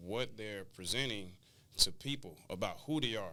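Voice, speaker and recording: A man speaks at a fairly low pitch with a bright, sharp tone. His pace is moderate, and room echo is audible. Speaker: clothing brand founder and educator. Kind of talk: interview.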